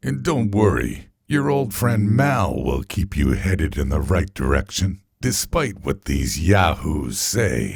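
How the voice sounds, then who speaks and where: A man puts on a character voice with a very deep, low pitch and very wide pitch swings. He talks at a fairly slow pace. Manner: calm, reassuring.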